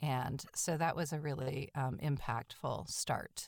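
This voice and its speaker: A woman with an American accent speaks fairly slowly, with a very deep, low pitch and fairly even intonation. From Massachusetts, North Shore of Boston. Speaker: theatre director. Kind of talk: interview.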